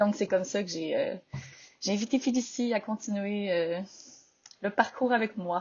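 A woman with a medium pitch and ordinary pitch variation speaks at a fairly slow pace, with long, frequent pauses. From Quebec, Victoriaville. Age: 20s. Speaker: entrepreneur. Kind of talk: interview.

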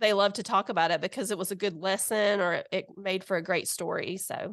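A woman of medium pitch talks at a moderate pace in a Southern US accent over a quiet background. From Alabama, US South. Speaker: guest co-host, mother of teens. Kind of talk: casual chat. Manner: animated, laughing.

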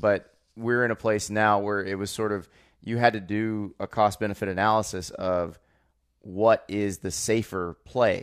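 A man speaks in a normal speaking voice, fairly low in pitch, with fairly even intonation. His pace is fairly slow, and the recording is very clean with a silent background. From Florida. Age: 30s. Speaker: college football writer and podcast co-host. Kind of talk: casual chat.

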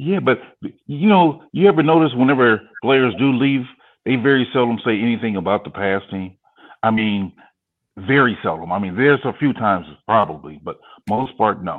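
With a plain, everyday voice, a man talks at a moderate pace with lively intonation. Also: medium pitch for a man. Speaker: football fan guest. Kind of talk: casual chat.

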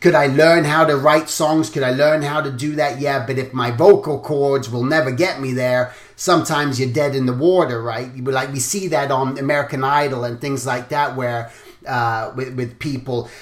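Recorded with noticeable background noise and audible room echo, a man speaks at a medium pitch and a moderate pace with fairly even intonation. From England. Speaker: podcast host, character designer. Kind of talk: interview.

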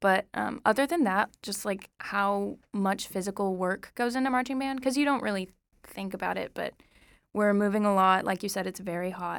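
Recorded very cleanly against a silent background, a woman with an American accent has a plain, everyday voice, a medium pitch, ordinary pitch variation and a moderate pace. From Oklahoma. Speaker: college student, flute player. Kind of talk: casual interview.

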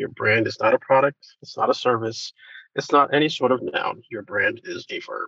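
Talking at a moderate pace, a man lets his volume jump between big highs and lows. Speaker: brand strategist, agency founder. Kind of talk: interview.

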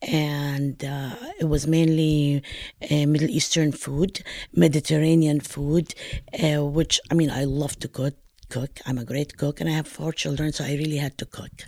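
A woman speaks at a moderate pace with a very deep, low pitch and a dark, mellow tone. The recording is very clean, with a silent background. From Palestine. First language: Arabic. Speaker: retired teacher and home cook. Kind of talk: interview. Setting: at her home. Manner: halting, many fillers.

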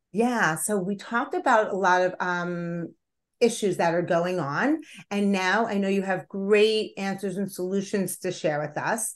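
A woman talks at a fairly slow pace in an unremarkable speaking voice with ordinary pitch variation. The background is quiet. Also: medium pitch for a woman. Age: 50s. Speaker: podcast host. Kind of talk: interview conversation.

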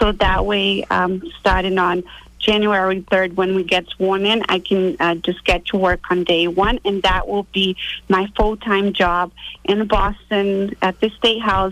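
A woman speaks at a fairly slow pace in a medium pitch. Her intonation is flat and monotone, and her loudness stays very even. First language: not English. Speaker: city councilor and candidate. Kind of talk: radio interview.

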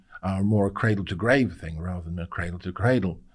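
Someone with a British accent talks at a fairly quick pace on a very clean recording with a silent background. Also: man. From UK. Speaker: circular economy expert and visiting university fellow. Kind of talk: interview.

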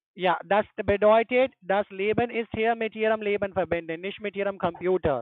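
The speech moves at a moderate pace with hardly any pauses. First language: not German (speaking German). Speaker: scam call-center agent. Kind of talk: phone sales pitch. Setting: phone call.

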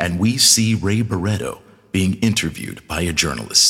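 Here is a normal speaking voice at a moderate pace. The pitch varies in an ordinary way. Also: man. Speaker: theater producing artistic director introducing the show. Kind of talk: scripted announcement and introduction. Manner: formal, warm, polished.

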